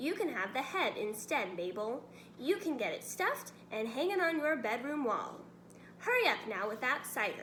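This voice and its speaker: Putting on a character voice, a woman speaks at a high pitch and a moderate pace, her pitch swinging very widely over clear background noise. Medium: read story. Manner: bossy, impatient.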